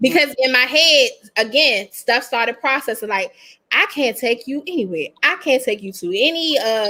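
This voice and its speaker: Raised and projected, a woman's high voice has a bright, sharp, animated tone. Her intonation is lively. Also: moderate pace. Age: 40s. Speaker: podcast co-host. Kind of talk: casual chat.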